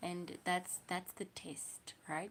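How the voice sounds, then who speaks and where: Very slowly and in a flat monotone, a woman with a South African accent speaks at a fairly low pitch. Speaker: livestreamer. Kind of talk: casual livestream chat.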